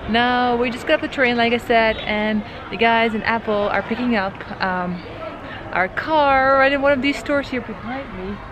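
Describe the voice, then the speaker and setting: Moderately paced speech from a woman, noticeable background noise behind her. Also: ordinary pitch variation. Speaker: travel vlogger. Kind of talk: casual vlog chat. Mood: cheerful and excited. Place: street. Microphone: phone near.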